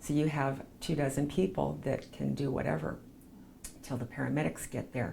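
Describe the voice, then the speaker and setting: A woman with a Western US accent, talking at a fairly quick pace. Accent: Western American. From Provo, Utah. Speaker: chaplain and PR business owner. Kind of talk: oral history interview answer.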